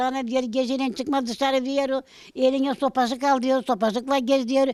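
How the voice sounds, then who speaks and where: In a Balkan accent, a woman speaks at a moderate pace with a high pitch and fairly even intonation. The recording is very clean, with a silent background. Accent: Balkan Yörük Turkish dialect. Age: 80s+. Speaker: elderly villager. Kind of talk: casual interview.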